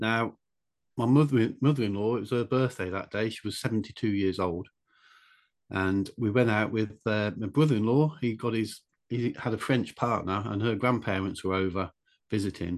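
With an English accent, a man speaks at a moderate pace in a fairly low pitch with ordinary pitch variation over a quiet background. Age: 60s. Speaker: author and draftsman. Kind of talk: casual interview.

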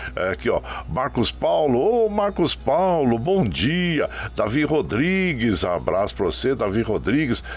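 A man talks here. His pace is fairly slow. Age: 60s. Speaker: radio host. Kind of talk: radio show, casual greetings to listeners. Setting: remote broadcast from home web radio. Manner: warm, folksy.

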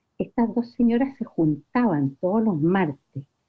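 A woman talks at a fairly slow pace, her pitch making very wide swings. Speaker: family friend. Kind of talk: recorded tribute.

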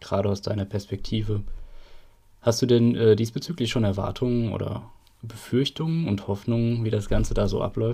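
A somewhat breathy man with a dark, mellow tone, medium pitch, ordinary pitch variation and a moderate pace. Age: 30s. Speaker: local political activist, podcast host. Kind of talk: casual chat.

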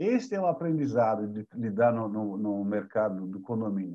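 At a moderate pace, the voice carries a dark, mellow tone with very wide pitch swings over a quiet background. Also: man. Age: 60s. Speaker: company co-founder, building management. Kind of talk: interview.

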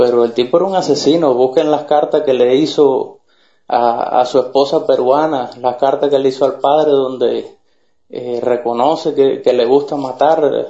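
A man with a plain, everyday voice speaks in a fairly high pitch, with fairly even intonation and very even loudness. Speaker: Cuban activist. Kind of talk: political argument.

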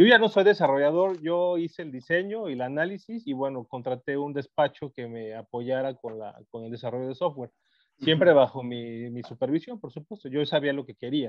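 An ordinary speaking voice from a man, fairly high-pitched and lively in intonation, at a fairly quick pace with big swings in loudness. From Mexico, Guerrero (Chilpancingo). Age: 40s. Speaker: electronics engineer and entrepreneur. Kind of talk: casual chat.

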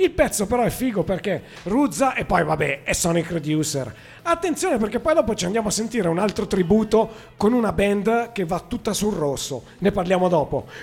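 A man speaks at a high pitch and a fairly quick pace. His pitch swings very widely. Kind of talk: radio dj patter. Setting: live radio show from a blues club. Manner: chatty, loud and enthusiastic, with casual asides.

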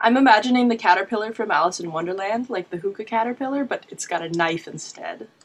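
Speaking in a Canadian accent, a woman with a fairly high pitch goes at a very fast pace with hardly any pauses and ordinary pitch variation. Her loudness swings widely, and noticeable background noise is present. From Dartmouth, Nova Scotia. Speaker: librarian podcast co-host. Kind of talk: book review.

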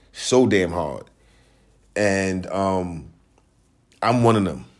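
In a room with audible echo, a man speaks at a fairly low pitch with long, frequent pauses. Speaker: podcast host. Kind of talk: casual monologue. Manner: laid-back.

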